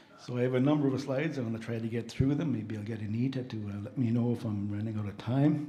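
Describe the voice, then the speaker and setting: Over noticeable background noise and audible room echo, a soft-spoken man at medium pitch talks at a very fast pace with hardly any pauses. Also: fairly even intonation. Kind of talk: slide presentation at a conference.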